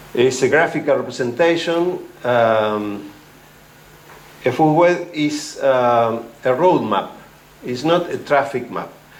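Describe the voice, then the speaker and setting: A man speaks very slowly at a medium pitch, with long, frequent pauses. Room echo is audible. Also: ordinary pitch variation. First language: Spanish. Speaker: ecology researcher. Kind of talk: academic talk. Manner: halting, many fillers.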